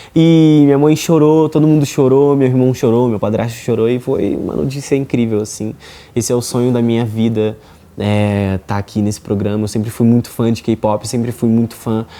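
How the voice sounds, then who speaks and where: A man at medium pitch with a dark, mellow tone, ordinary pitch variation and a moderate pace. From Rio de Janeiro, Brazil. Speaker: reality show contestant, singer. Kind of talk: interview, personal story.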